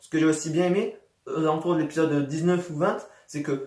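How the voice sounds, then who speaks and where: Here a man is talking. His voice is high in pitch. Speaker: YouTuber anime reviewer. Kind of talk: casual video review monologue. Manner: fast; halting, many repetitions and fillers.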